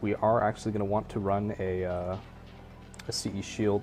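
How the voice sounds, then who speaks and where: Music plays behind a man speaking at a moderate pace in a fairly low voice. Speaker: video game build guide host. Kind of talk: casual gameplay tutorial talk. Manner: hesitant, lots of filler words.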